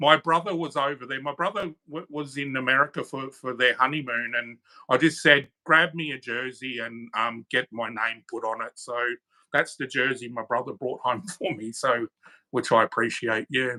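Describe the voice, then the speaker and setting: A man with an Australian accent talks at a moderate pace in a medium-pitched voice. His pitch moves in an ordinary way while his loudness swings widely. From Australia (Queensland). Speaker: channel moderator. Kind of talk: casual chat. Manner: halting.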